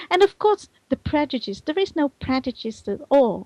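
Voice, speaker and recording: A woman speaks at a moderate pace in a Dutch accent. The sound is dry and close, with no echo. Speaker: virtual world community manager and conference organizer. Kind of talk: talk show interview. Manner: animated; halting.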